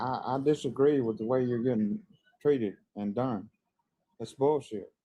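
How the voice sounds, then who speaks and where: A man at a medium pitch, speaking at a moderate pace with ordinary pitch variation. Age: 60s. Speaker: live stream guest. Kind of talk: casual chat. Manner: halting.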